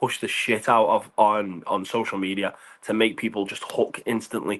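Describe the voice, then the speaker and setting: A man with a Liverpool accent talks at a moderate pace. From England, Liverpool. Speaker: pop punk lead singer. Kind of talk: casual interview.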